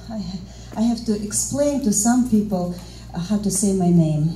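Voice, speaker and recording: Noticeable background noise sits behind a woman speaking at medium pitch with ordinary pitch variation. She leaves long, frequent pauses. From Russia. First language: Russian. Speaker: interpreter. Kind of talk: stand-up comedy.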